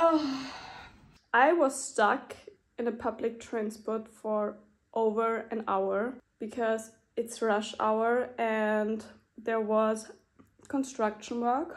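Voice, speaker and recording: Against a quiet background, a woman talks very slowly, with long, frequent pauses. Her pitch is fairly high and her intonation fairly even. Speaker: vlogger. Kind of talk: casual vlog monologue. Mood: teary, emotional. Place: home room. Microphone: phone near.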